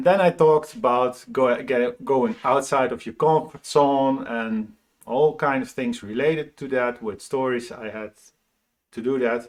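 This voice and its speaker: At a fairly slow pace, a man speaks at a medium pitch with ordinary pitch variation and big swings in loudness. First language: Dutch. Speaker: motivational speaker. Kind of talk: casual vlog monologue. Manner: halting.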